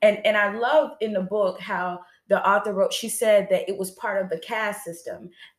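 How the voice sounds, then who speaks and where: This woman has a normal speaking voice, medium pitch and fairly even intonation, delivered at a moderate pace. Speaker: show host. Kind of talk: casual chat. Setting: livestream.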